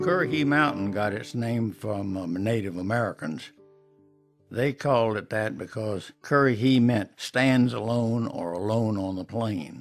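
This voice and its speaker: Over music in the background, a man with a Southern US accent speaks at medium pitch and a fairly slow pace with lively intonation. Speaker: artist. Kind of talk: travel guide narration. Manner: folksy, storytelling.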